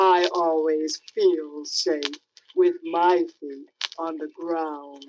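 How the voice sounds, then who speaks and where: A woman in a put-on character voice, fairly low in pitch, at a very slow pace. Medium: read story.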